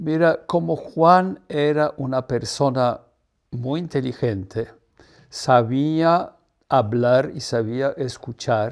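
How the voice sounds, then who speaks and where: The speaker has a Polish accent and talks at a very slow pace with ordinary pitch variation. The background is quiet. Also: man. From Poland. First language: Polish (speaking Spanish). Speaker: artist's partner and promoter; interviewee. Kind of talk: interview. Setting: at home. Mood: warm, amused reminiscing. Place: home room. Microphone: lapel.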